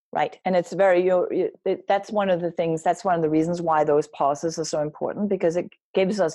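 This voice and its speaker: Her pitch is fairly low with ordinary variation as this woman talks. She keeps a fairly quick pace over a quiet background. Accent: Danish. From Denmark. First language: Danish. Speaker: wellness coach and speaker. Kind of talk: interview.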